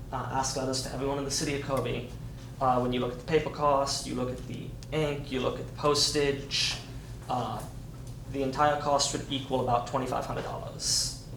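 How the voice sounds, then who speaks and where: Over noticeable background noise and audible room echo, a man talks at a fairly quick pace. His medium-pitched voice has a monotone, flat intonation. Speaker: staff member presenting budget to board. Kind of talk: board meeting presentation. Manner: fast.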